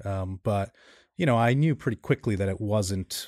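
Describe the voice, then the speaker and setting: A man with an American accent talks at a moderate pace, his pitch fairly low. The sound is dry and close with no echo, and the recording is very clean over a silent background. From New York City, Queens. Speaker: startup CEO. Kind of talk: interview. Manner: halting, many fillers.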